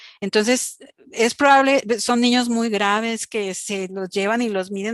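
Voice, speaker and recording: At a moderate pace, a woman with a normal speaking voice talks at a fairly high pitch with fairly even intonation, the sound dry and close with no echo against a quiet background. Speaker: pediatric doctor lecturer. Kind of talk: lecture.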